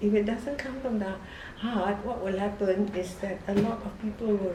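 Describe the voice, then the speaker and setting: The woman's pitch is medium and her intonation fairly even, at a moderate pace. Audible room echo and noticeable background noise surround her voice. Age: 80s+. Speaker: novelist. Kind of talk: documentary interview.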